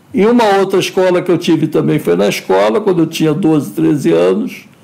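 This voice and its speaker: A man speaks at a moderate speed while noticeable noise sits in the background. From Brazil, Rio de Janeiro. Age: 60s. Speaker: filmmaker. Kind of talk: interview. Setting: live stream.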